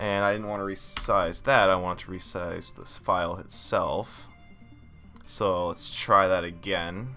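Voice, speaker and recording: Over background music, a man with a fairly low pitch speaks amid audible room echo. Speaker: 3D modeler and tutorial maker. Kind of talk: tutorial. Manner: hesitant, many fillers.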